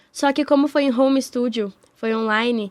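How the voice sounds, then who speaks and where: Here a woman speaks in a high voice. Her intonation stays fairly even. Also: very clean recording, silent background. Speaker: voice actress and musical theatre actress. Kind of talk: interview. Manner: speaking higher than usual.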